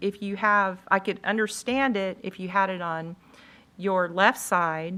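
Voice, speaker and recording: A woman with a bright, sharp tone, ordinary pitch variation and a fairly slow pace, on a very clean recording with a silent background. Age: 60s. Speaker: school board member. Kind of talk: board hearing questioning. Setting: board meeting room. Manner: halting.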